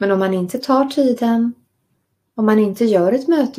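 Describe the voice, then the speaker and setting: A woman speaks in a calm, soothing tone that is dark, mellow and somewhat breathy. Her pitch variation is ordinary. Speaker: meditation and writing course teacher. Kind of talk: guided meditation and lecture.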